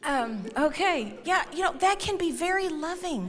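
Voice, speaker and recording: Woman with a Texan accent, animated tone, very wide pitch swings and audible room echo. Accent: Texan Southern US. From Texas. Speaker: conference speaker. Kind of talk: marriage talk to church audience. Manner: animated, humorous.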